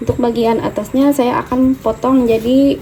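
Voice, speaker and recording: There is noticeable background noise in this clip. Over it, a woman speaks at a moderate pace. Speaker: cooking vlogger. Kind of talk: cooking tutorial. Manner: softer than usual.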